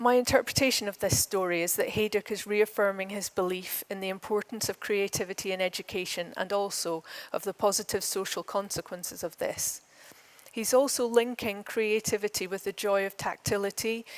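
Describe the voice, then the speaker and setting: A woman with an Edinburgh accent talks at a fairly quick pace and medium pitch. Her intonation is fairly even, and the sound is dry and close with no echo. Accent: Edinburgh (Scottish). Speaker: conference speaker, architecture academic. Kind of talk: conference lecture. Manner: hesitant at times.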